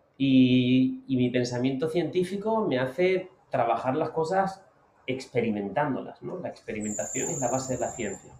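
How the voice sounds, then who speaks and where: Over noticeable background noise, a man talks at medium pitch and a moderate pace. His intonation is lively. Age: 30s. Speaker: motivational speaker. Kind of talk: interview. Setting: outdoors on a beach. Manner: calm.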